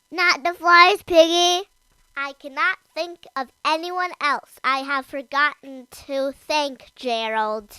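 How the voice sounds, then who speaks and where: A man uses a put-on character voice at an extremely high pitch. He delivers it at a fairly slow pace. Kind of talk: bedtime story character voice. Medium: read story. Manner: worried, hesitant.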